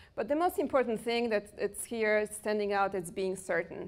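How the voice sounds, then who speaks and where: In a very clean recording with a silent background, a woman talks at a moderate pace with a Polish accent. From Poland. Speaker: personal development coach. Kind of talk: workshop talk. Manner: animated.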